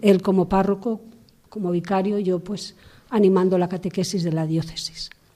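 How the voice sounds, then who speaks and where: A woman's medium-pitched voice, dark and mellow in tone, flat and monotone, at a moderate pace. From Spain, Burgos. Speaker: missionary nun. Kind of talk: testimony. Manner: halting.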